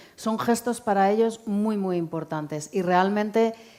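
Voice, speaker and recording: A woman speaks with a Spanish accent at a moderate pace, her pitch medium. Her tone is dark and mellow, with ordinary pitch variation. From Spain. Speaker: aid organisation director. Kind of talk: public talk, interview on stage. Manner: conversational, with frequent filler 'eh'.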